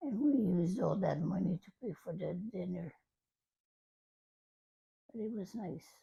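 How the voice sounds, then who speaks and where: A woman's somewhat breathy voice, dark and mellow in tone, medium in pitch, with lively intonation, a moderate pace and long, frequent pauses. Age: 80s+. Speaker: grandmother. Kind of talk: interview answer.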